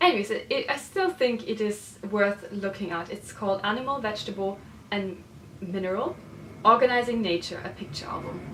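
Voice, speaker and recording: The speaker goes at a moderate pace with ordinary pitch variation and long, frequent pauses. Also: woman. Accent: German. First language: German. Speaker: illustrator and designer. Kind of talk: casual book review vlog. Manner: hesitant, with fillers.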